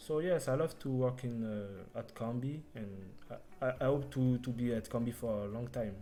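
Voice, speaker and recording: Music plays in the background. A man with a non-native accent talks at a moderate pace. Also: medium pitch for a man, ordinary pitch variation. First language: not English. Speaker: front-end developer. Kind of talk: interview. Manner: halting.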